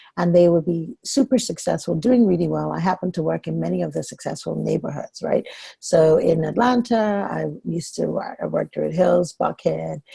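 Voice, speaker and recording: A woman with a Nigerian accent talks at a moderate pace. The sound is dry and close, with no echo. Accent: Nigerian-tinged, noticeable. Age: 40s. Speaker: women's leadership coach, former pharmacist. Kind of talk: talk to an online group meetup. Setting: conference call.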